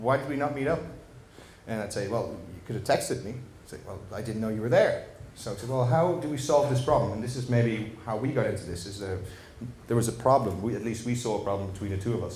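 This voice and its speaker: In a Dutch accent, a man talks at a very fast pace and a medium pitch. Noticeable background noise and audible room echo surround him. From Netherlands. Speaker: tech startup founder. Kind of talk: presentation at a meetup. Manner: hesitant, many fillers.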